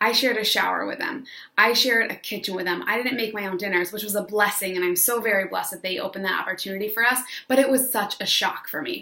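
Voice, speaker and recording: A woman with an American accent talks at a very fast pace in an animated tone, with noticeable background noise. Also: medium pitch for a woman, ordinary pitch variation. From upstate New York. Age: 20s. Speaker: online business coach, former teacher. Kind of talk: casual vlog monologue.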